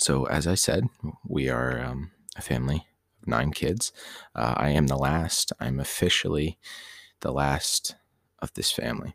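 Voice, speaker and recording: Pausing long and often, a man with a very deep, low voice and vocal fry speaks fairly slowly in an American accent with ordinary pitch variation, the sound dry and close with no echo. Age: young. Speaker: podcast host. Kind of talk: casual monologue. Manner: halting, many fillers.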